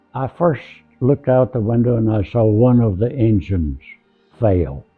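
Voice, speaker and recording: Music plays behind a man with a medium pitch. His intonation is lively. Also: moderate pace. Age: 80s+. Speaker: war veteran. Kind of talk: interview answer.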